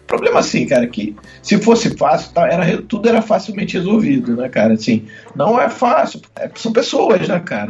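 This man's pitch swings very widely as he talks at a fairly quick pace. Music plays in the background. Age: 40s. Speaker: football fan guest. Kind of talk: casual chat.

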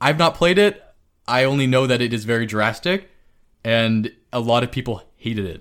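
This man has an unremarkable speaking voice at a medium pitch, using lively intonation in a very clean recording with a silent background. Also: moderate pace. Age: 30s. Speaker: video game podcast co-host. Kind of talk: casual chat.

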